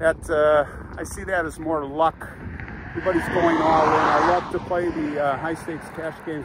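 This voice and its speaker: A man's voice comes across dry with no echo, while the background noise is loud. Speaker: vlogger. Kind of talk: casual vlog chat. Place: open country. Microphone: phone near.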